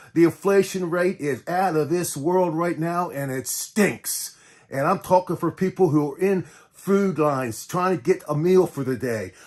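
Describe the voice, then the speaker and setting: On a very clean recording with a silent background, a man with an American accent talks at a moderate pace in a high voice with ordinary pitch variation. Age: 70s. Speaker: artist. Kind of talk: political rant to camera. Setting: art studio live video. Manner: halting, many repetitions; impassioned.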